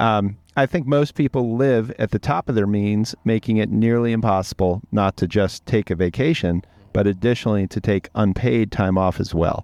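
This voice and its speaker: In a dry, close recording with no echo and a quiet background, a man talks at a moderate pace in an ordinary speaking voice, fairly low in pitch, with ordinary pitch variation and very even loudness. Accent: American. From Maryland, US East Coast. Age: 50s. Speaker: podcast host. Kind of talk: casual chat; reading listener questions. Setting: studio.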